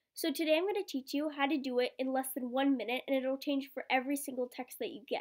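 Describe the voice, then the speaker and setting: High-pitched woman talking at a very fast pace with hardly any pauses and ordinary pitch variation. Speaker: tech tutorial youtuber. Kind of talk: tutorial.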